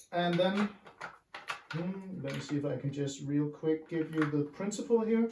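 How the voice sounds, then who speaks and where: Someone with a Danish accent speaks at a moderate pace over noticeable background noise. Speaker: DIY hobbyist. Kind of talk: tutorial. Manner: halting, many fillers.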